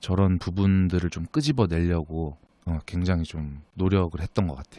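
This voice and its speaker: Recorded very cleanly against a silent background, dry and close with no echo, a man speaks at a moderate pace in a very deep, low pitch with a dark, mellow tone. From Pohang, Gyeongsang region. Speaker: actor. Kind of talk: casual interview.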